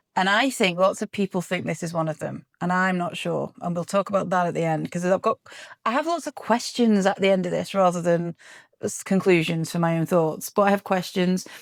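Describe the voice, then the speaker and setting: On a very clean recording with a silent background and a dry, close sound with no echo, a woman with an English accent and a medium-pitched voice speaks at a fairly quick pace with ordinary pitch variation. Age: 40s. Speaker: podcast co-host. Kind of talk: casual chat.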